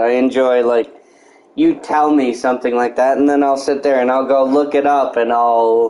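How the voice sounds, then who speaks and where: Man at a moderate pace, medium pitch, with noticeable background noise. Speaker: gaming livestreamer. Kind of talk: casual chat. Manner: halting.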